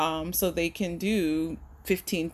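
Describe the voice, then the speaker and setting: Over a quiet background, a woman with an American accent speaks in a flat monotone, her fairly low voice showing vocal fry. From US Northeast, Philadelphia. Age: 40s. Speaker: opera singer. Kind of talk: interview conversation.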